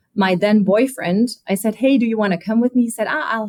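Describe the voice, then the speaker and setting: A woman is speaking. She has a German accent. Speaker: automotive executive. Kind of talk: interview.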